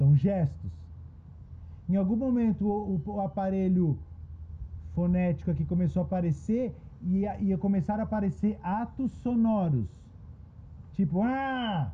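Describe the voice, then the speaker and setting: With long, frequent pauses, a man talks at a fairly slow pace in a high, dark, mellow voice with ordinary pitch variation. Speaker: podcast host and writing workshop facilitator; therapist. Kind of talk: group discussion.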